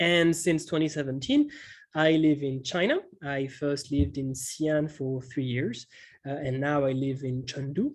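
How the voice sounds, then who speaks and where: Here a man speaks with a French accent at a fairly high pitch. His intonation is fairly even, over a quiet background. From France, Montpellier. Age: 30s. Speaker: economics teacher. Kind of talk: online webinar workshop. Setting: video call webinar. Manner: slow; halting, many fillers.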